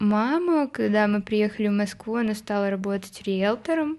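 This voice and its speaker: The background is quiet as a woman speaks at a medium pitch. She has an ordinary speaking voice and a fairly slow pace. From Moscow, Russia. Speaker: indie pop musician. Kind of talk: casual interview chat.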